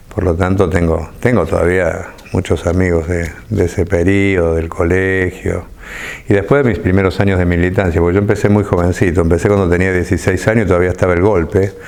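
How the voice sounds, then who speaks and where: Speaking at a fairly quick pace, a man with a very deep, low pitch keeps very even loudness and fairly even intonation amid noticeable background noise. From Argentina, Córdoba. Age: 50s. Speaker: left-wing politician. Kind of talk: interview. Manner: halting, with many repetitions.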